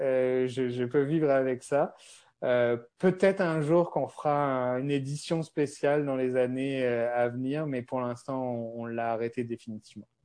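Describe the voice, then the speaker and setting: Over a quiet background, a man speaks at a fairly slow pace and medium pitch. His tone is dark and mellow, with fairly even intonation. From France. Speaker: beverage company founder. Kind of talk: interview. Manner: hesitant, many fillers.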